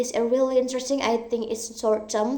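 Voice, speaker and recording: In an Indonesian accent, a woman speaks with a fairly high pitch and a dark, mellow tone. Her intonation stays fairly even, and audible room echo surrounds her voice. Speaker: university student. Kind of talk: recorded exam answers, self-directed Q&A. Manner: halting, self-correcting.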